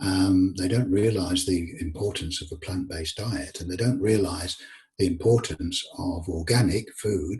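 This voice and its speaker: In an English accent, a man speaks at a fairly slow pace with a very deep, low pitch and ordinary pitch variation. His voice is somewhat breathy. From England. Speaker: author. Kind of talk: interview conversation. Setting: call.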